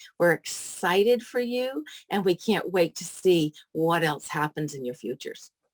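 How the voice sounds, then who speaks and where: An American-accented woman with an ordinary speaking voice talks at a moderate pace with lively intonation, with a dry, close sound and no echo. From US Pacific Northwest, Seattle. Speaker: editor and publisher. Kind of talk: casual group video chat introduction.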